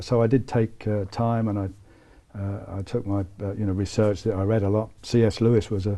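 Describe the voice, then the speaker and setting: Using a fairly quick pace, a man with a British accent delivers a dark, mellow tone at a fairly low pitch with monotone, flat intonation. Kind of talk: interview. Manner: halting, many fillers.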